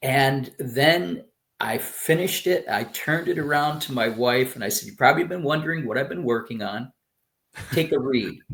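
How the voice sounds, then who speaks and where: A man with an American accent speaks at a fairly high pitch. His intonation is lively. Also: moderate pace. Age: 60s. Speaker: retired professional turned memoir author. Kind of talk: casual interview. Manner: animated, hesitant with fillers.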